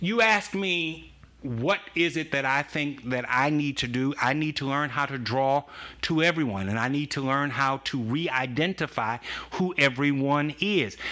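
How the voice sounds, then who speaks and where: A loud voice with a bright, sharp tone speaks at a fairly slow pace on a very clean recording with a silent background. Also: man, fairly high pitch for a man, ordinary pitch variation. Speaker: pastor. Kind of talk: casual chat.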